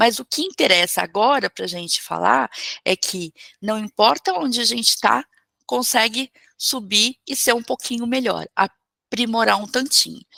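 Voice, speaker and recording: A bright, sharp tone with vocal fry and lively intonation, at a fairly slow pace, in a dry, close sound with no echo. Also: woman, fairly high pitch for a woman. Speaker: holistic therapist and spiritual teacher. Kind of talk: online talk or class.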